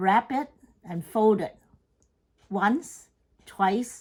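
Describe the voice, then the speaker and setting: The voice belongs to a woman at a medium pitch. Her pitch varies in an ordinary way. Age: 80s+. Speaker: home cook. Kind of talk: cooking tutorial talk to camera.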